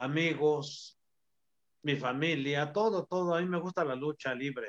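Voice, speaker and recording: A man's fairly high voice moves fairly slowly, with pitch varying in the usual way. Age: 60s. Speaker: retired professional wrestler. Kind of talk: casual interview.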